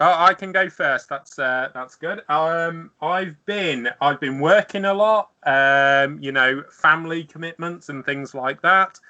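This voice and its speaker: A man with a British accent speaks with hardly any pauses. His pitch is fairly high and his tone bright and sharp. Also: ordinary pitch variation, fairly slow pace, big swings in loudness. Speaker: podcast guest, maker of custom game covers. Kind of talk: casual chat.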